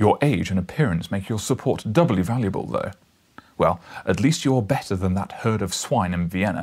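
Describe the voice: Someone reads aloud plainly with lively intonation.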